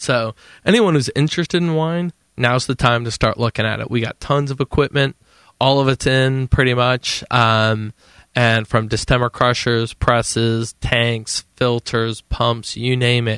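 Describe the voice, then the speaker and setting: With a normal speaking voice, a man speaks at a medium pitch and a fairly slow pace, his intonation fairly even, over a quiet background. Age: 30s. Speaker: homebrew supply company staff. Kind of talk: casual chat. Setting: studio.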